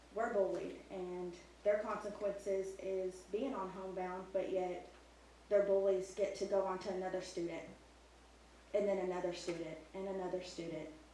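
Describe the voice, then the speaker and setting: A woman at medium pitch and a moderate pace, ordinary pitch variation, audible room echo and noticeable background noise. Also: long, frequent pauses. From not from the local area. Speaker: parent speaking at public comment. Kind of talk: public comment at board meeting.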